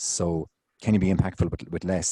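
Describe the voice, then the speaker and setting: A man with an Irish accent has a dark, mellow tone, and the sound is dry and close with no echo. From Ireland. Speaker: city engineer. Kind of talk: conference Q&A. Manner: fast.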